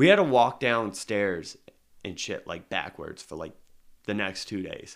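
A man with a normal speaking voice, fairly low in pitch, at a fairly slow pace, with lively intonation and big swings in loudness. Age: 30s. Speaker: podcast co-host. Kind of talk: casual chat.

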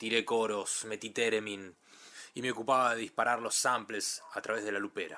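Bright and sharp in tone, a man's fairly low voice moves at a fairly slow pace with fairly even intonation. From Argentina, Ituzaingó (western Greater Buenos Aires). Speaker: musician and producer. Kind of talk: recorded personal presentation.

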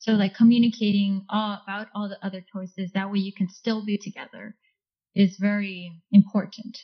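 In a Californian accent, the somewhat breathy voice moves at a moderate pace with monotone, flat intonation. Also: woman, medium pitch for a woman, big swings in loudness. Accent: Californian American English. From Orange County, California. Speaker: engineer. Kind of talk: casual interview chat.

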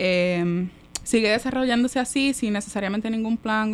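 Noticeable background noise sits under speech that moves at a moderate pace with fairly even intonation. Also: woman. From Puerto Rico, Manatí. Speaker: architect, urban studies researcher. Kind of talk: casual chat.

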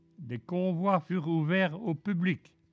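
Music can be heard behind the voice. The man talks very slowly. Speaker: retired railway worker. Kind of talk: prepared talk read aloud. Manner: formal.

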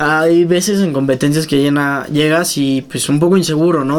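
This is an ordinary speaking voice from a man with a fairly high pitch. He keeps a moderate pace and fairly even intonation. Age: 20s. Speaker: triathlete. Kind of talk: casual interview.

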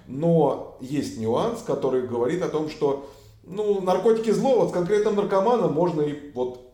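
Audible room echo surrounds a man speaking at a high pitch with a dark, mellow tone. His pitch swings very widely at a fairly slow pace. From Russia. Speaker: human rights activist, former police officer. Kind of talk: casual interview.

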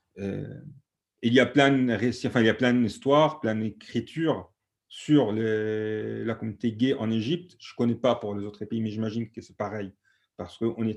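A man's medium-pitched voice at a fairly slow pace, with big swings in loudness, against a quiet background. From Egypt, Alexandria. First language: Egyptian Arabic (speaking French). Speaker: activist. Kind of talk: panel discussion testimony. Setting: video call.

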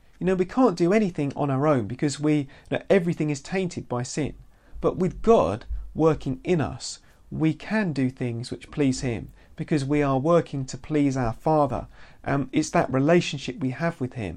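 Over a quiet background, the speaker talks with a British accent. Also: moderate pace. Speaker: Bible teacher. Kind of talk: bible teaching video podcast. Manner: halting, many fillers and repeats.

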